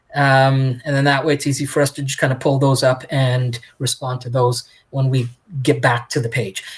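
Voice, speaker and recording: A man's somewhat breathy, monotone voice, medium in pitch, with flat intonation at a moderate pace. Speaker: livestream host. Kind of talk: live stream chat.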